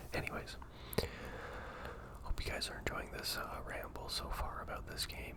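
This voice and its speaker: A man whispers in a relaxed tone. Noticeable background noise can be heard. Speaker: ASMR gaming content creator. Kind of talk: whispered gameplay voiceover ramble. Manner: whispered, soft-spoken, relaxed, rambling.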